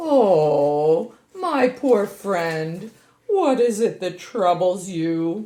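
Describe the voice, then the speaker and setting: Using a cartoonish character voice at medium pitch, a woman speaks at a very slow pace. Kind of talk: family puppet show. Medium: puppet show. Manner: gracious, trusting.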